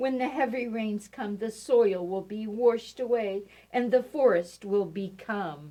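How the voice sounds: Reading aloud in a natural voice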